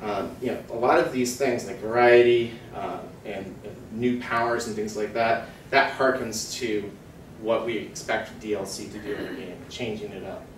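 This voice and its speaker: Heard with audible room echo and light background noise, a man at medium pitch speaks at a moderate pace with fairly even intonation and big swings in loudness. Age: 30s. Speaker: market research analyst. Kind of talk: conference talk. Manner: many fillers and hesitations. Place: hall. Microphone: camera far.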